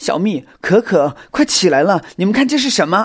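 A put-on character voice with big swings in pitch, a slightly husky edge, and a moderate pace. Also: man, high pitch for a man.

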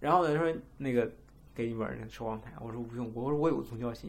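A very fast-talking man at medium pitch, with ordinary pitch variation. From China. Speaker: podcast co-host. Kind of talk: casual chat.

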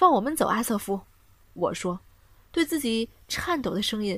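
Lively intonation marks this plain reading aloud.

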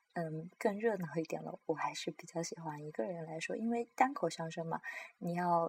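In a dry, close sound with no echo, a woman speaks at a moderate pace and a fairly low pitch, her voice somewhat breathy and her intonation lively. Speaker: podcast host sharing opera and crosstalk recordings. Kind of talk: casual solo talk. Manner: halting, many fillers.

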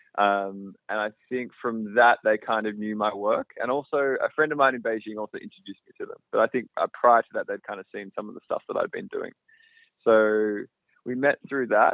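Speaking at a moderate pace with an Australian accent, this voice shows big swings in loudness. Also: man. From Australia, outside Melbourne. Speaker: film director and cinematographer. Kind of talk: interview. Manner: casual, many fillers.

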